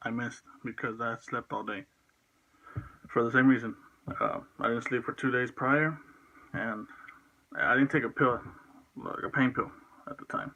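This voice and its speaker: Bright and sharp in tone, a man speaks at medium pitch and a moderate pace with ordinary pitch variation. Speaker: vlogger. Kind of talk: personal vlog monologue. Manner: stuttering, halting; unscripted, rambling hesitations.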